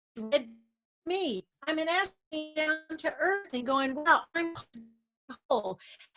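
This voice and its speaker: A woman's high, raised and projected voice with an American accent, very slow pace, long and frequent pauses, lively intonation, and music in the background. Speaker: science presenter. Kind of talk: educational talk for kids.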